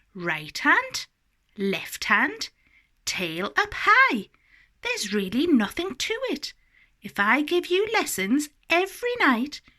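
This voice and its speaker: In a put-on character voice, a woman speaks high with very wide pitch swings, at a fairly slow pace and with long, frequent pauses. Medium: read story.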